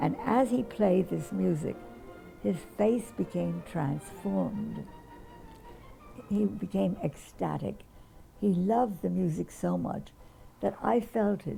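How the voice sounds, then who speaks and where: Music plays in the background as a woman talks fairly slowly. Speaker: pianist. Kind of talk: interview storytelling.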